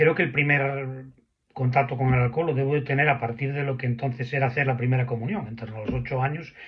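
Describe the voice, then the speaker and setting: Speaking at a very fast pace, a man keeps a medium pitch with fairly even intonation. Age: 60s. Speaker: recovering drinker sharing his story. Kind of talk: testimony. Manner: halting, with repetitions.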